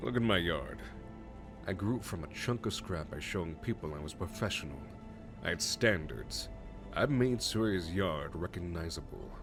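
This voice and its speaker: A booming, put-on character voice from a man at a very deep, low pitch and moderate pace, with loud music in the background. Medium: solo performance. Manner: confident, salesman-like.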